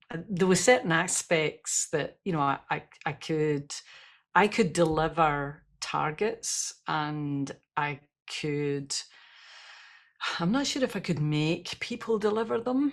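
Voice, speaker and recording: Very slowly and with long, frequent pauses, a woman with a Scottish accent speaks in a fairly low pitch with lively intonation. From Scotland. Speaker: leadership expert and speaker. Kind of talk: podcast interview. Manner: rolled r's.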